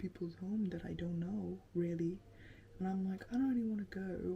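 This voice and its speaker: A woman with a fairly low pitch sounds somewhat breathy, her pitch varying in an ordinary way. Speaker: lifestyle vlogger. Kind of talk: casual vlog chat while doing makeup. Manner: chatty, many fillers.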